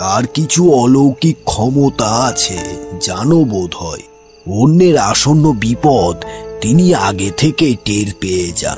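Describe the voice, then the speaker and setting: In a cartoonish character voice at medium pitch, a man talks at a fairly slow pace over clear music in the background. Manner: calm, measured, refined.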